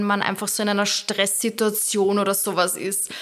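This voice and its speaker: A woman with medium pitch speaks at a moderate pace. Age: 30s. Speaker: social media creator. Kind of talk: casual chat.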